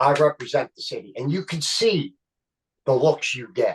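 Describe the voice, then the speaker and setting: In a Philadelphia accent, a man talks at a moderate pace, the sound dry and close with no echo. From Philadelphia, Kensington. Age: 60s. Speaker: actor and comedian. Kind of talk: casual chat. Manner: animated.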